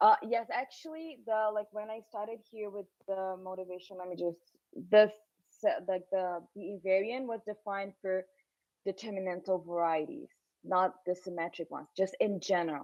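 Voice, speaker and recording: This is a woman with an unremarkable speaking voice, medium in pitch and ordinary in pitch variation. She talks at a moderate pace, with big swings in loudness. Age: young. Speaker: mathematician. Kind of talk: academic Q&A.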